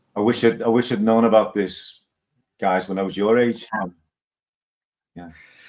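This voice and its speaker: A man with a Liverpool accent talks at a moderate pace with fairly even intonation. His loudness swings widely, and he takes long, frequent pauses. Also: medium pitch for a man. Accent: Liverpool (Scouse). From Liverpool, England. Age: 60s. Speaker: live stream host. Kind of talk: casual chat. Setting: live stream.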